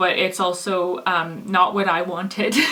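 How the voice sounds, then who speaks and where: A woman with a Canadian accent speaks at a moderate pace in a flat, monotone delivery over noticeable background noise. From Canada. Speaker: vlogger. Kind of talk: personal vlog testimony. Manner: halting, many fillers.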